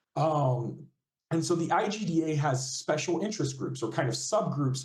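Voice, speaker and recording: A man's fairly high, somewhat breathy voice with a dark, mellow tone, ordinary pitch variation and audible room echo. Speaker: games user researcher. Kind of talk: guest lecture. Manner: fast.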